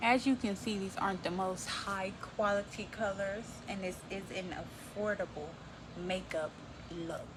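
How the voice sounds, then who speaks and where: Over noticeable background noise, the speech comes at a fairly slow pace with fairly even intonation. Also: woman, medium pitch for a woman. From Texas. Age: 20s. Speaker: beauty vlogger. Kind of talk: makeup tutorial. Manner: casual, chatty.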